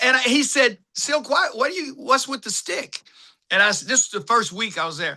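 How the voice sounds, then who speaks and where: The voice is raised and projected, moving at a moderate pace with very wide pitch swings. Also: man. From Tennessee. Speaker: actor and film director. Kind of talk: interview storytelling.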